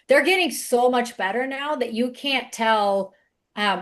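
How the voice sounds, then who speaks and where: Lively intonation marks this woman's speech, delivered at a moderate pace with a slight non-native accent. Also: quiet background. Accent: slight foreign. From outside the US. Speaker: webinar speaker on AI for business. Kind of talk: webinar panel talk.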